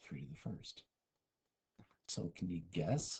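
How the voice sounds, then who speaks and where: This man has a very deep, low pitch and a dark, mellow tone that is somewhat breathy. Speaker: math teacher. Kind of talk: lecture. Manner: whispering briefly.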